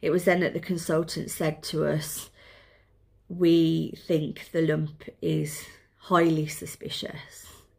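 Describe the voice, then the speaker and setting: On a very clean recording with a silent background, a woman with a Birmingham accent speaks very slowly at a fairly low pitch. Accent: Birmingham (Brummie). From Birmingham, England. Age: 40s. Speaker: mother with breast cancer. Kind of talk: casual talk to camera, personal vlog.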